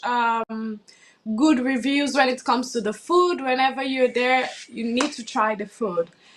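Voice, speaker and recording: A woman with a high voice talks at a fairly slow pace with fairly even intonation, and noticeable background noise can be heard. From the Gambia (born in Sierra Leone). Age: 20s. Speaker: pageant contestant. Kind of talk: interview. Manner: hesitant, many fillers.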